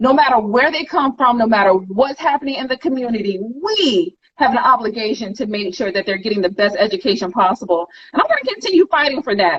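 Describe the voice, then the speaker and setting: A woman speaks loudly at a high pitch with an animated tone. Her pace is very fast and her pitch swings very widely. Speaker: school board candidate. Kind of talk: interview.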